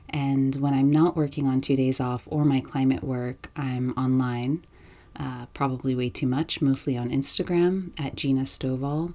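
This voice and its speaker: A woman with an American accent and a dark, mellow tone, very deep, low pitch, fairly even intonation and a moderate pace. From New York. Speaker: podcast host. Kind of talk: solo podcast monologue. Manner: casual, with frequent ums.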